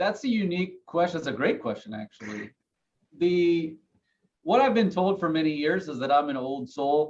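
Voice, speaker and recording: His pitch fairly high and swinging very widely, a man speaks at a moderate pace. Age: 30s. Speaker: financial advisor. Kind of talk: podcast interview.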